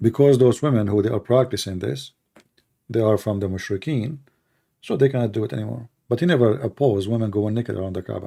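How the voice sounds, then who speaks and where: A man talks very fast in a fairly low, somewhat breathy voice with a dark, mellow tone and ordinary pitch variation. The recording is very clean, with a silent background. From Middle East. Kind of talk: livestream answering chat comments. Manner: argumentative, rebutting.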